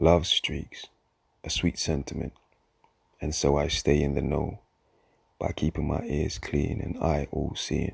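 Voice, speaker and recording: A man's very deep, low voice with vocal fry, fairly even intonation, a fairly slow pace and long, frequent pauses. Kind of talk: spoken-word poem performance. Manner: introspective, measured, lyrical cadence.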